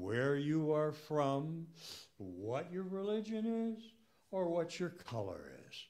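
Very slowly, a man speaks with very wide pitch swings. The background is quiet. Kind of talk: church welcome address. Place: church.

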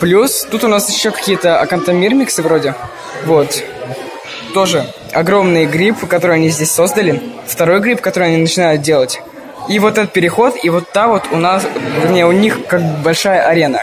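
The loudness stays very even, broken by long, frequent pauses. Crowd noise runs in the background. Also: man, high pitch for a man, ordinary pitch variation, moderate pace. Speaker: ant-keeping vlogger. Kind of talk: vlog walkthrough. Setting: indoors at a zoo with crowds. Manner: casual, filler-heavy. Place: hall. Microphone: phone near.

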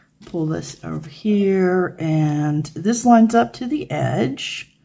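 With an American accent, a woman speaks in a very deep, low, somewhat breathy voice with a dark, mellow tone and lively intonation. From United States. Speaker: craft video creator. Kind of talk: tutorial. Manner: casual, chatty. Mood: relaxed, friendly.

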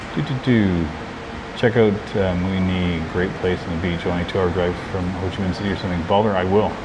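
A man with a very deep, low pitch talks at a fairly quick pace with fairly even intonation. Noticeable background noise is present. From Canada. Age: 50s. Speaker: travel vlogger. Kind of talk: live stream chat with viewers. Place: cafe. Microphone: phone near.

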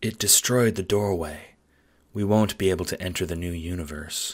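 In a put-on character voice, a man delivers very deep, low-pitched lines at a moderate pace. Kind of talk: monotone. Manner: flat, emotionless.

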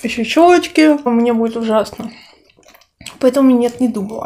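A woman with a high pitch at a very slow pace. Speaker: food vlogger. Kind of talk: casual vlog chat while eating. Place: home room. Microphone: phone near.

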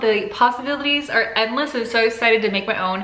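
A woman's voice at a moderate pace with ordinary pitch variation, audible room echo and light background noise. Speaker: cooking vlogger. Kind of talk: casual vlog chat. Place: kitchen. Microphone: phone near.

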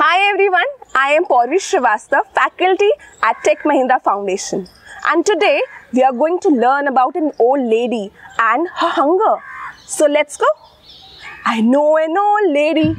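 A woman with a high pitch makes very wide pitch swings and takes long, frequent pauses, in a dry sound with no echo. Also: moderate pace. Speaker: teacher. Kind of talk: storytelling rhyme performance for children. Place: garden.

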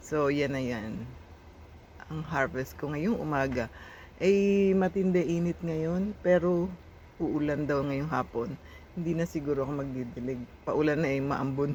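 The voice has a dark, mellow tone and moves at a fairly slow pace. Its pitch varies in an ordinary way. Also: woman, very deep, low pitch for a woman. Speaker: vlogger. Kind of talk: casual vlog. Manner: casual, laughing.

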